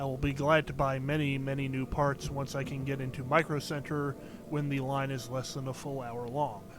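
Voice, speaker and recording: At a moderate pace, a man talks in a flat monotone with a fairly high pitch. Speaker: game streamer. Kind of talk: live gameplay commentary. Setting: live stream from home. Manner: quiet voice; hesitant, many fillers. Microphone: cheap mic, boosted input with hissing.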